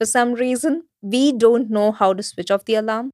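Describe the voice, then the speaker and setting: A woman with an Indian accent at a moderate pace, ordinary pitch variation, dry, close sound with no echo. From central India. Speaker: guest. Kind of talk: casual interview chat.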